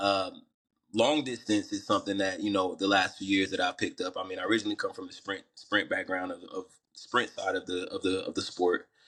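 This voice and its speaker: Here a man speaks with a slight Southern US accent. His pace is fairly quick. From US South, Atlanta, Georgia. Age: young. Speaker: rapper and runner. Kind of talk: podcast interview. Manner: casual, filler-heavy.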